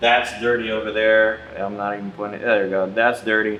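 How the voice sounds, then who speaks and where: A man is speaking. There is audible room echo on his voice. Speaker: real estate investor vlogger. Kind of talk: casual vlog storytelling. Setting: inside a rental house. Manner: casual, halting with repetitions.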